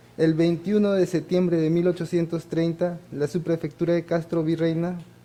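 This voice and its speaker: A man speaks at a moderate pace with a high pitch and a dark, mellow tone. His intonation is monotone and flat. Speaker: award recipient, archivist. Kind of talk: acceptance speech. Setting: ceremony with audience. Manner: halting, with fillers.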